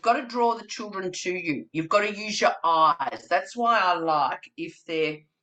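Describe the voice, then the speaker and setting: Speaking with an Australian accent, a woman uses lively intonation at a medium pitch. Her pace is fairly slow. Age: 60s. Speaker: early childhood trainer. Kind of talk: webinar presentation. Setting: video call. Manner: animated.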